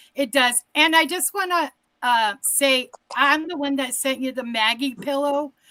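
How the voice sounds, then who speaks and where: Raised and projected, a woman's bright, sharp voice with an American accent and high pitch moves at a fairly slow pace with ordinary pitch variation. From Massachusetts. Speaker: caller. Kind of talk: casual chat.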